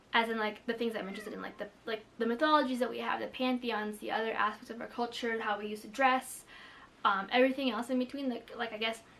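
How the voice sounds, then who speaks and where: Talking at a very fast pace, a woman with a fairly high pitch is heard over noticeable background noise. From Philippines. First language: Tagalog. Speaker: booktuber. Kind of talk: casual vlog chat. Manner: casual, many fillers.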